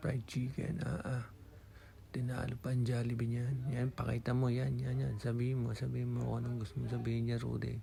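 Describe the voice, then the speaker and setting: Soft-spoken and at a fairly quick pace, a man talks in a room with audible echo. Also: very even loudness. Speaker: vlogger, overseas Filipino worker. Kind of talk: casual voice-over vlog narration. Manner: soft, weak voice.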